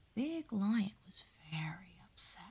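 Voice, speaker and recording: A woman is whispering. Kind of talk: calm narration of a children's story, bedtime story reading.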